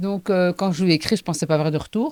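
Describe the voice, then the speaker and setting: A woman speaks in a Charleroi accent. Her medium-pitched voice carries lively intonation. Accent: Charleroi Belgian accent, noticeable. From Belgium, Hainaut (Charleroi area). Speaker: playwright and actress, also care worker. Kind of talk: casual interview. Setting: studio.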